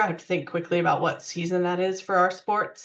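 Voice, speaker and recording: This is a woman's voice. Her pitch is medium. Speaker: university parent and family resources staff. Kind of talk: webinar presentation with Q&A. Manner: fast.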